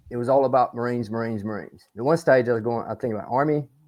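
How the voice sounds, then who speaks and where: With an American accent, a man speaks at a medium pitch with fairly even intonation. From US South, rural northern Alabama. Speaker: military historian, Marine veteran. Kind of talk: podcast interview. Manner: casual, rambling.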